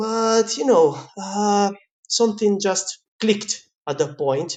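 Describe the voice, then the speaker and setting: Speaking very slowly with a slight Italian accent, a man has a high pitch and ordinary pitch variation. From Italy. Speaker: pizza chef. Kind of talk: interview. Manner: animated.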